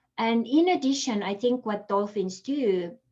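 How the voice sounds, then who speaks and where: A woman speaks with an Estonian accent. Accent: Estonian accent, noticeable. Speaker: holistic coach. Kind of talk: interview. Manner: casual, many fillers.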